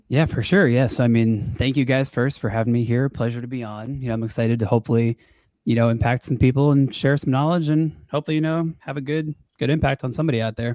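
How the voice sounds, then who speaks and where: At a very fast pace, a man with an American accent talks in a dark, mellow tone with ordinary pitch variation, the sound dry and close with no echo on a very clean recording with a silent background. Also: medium pitch for a man. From Long Island, New York. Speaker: real estate wholesaler. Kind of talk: podcast interview. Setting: podcast recording with new mic. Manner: casual, many fillers. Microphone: nice podcast microphone.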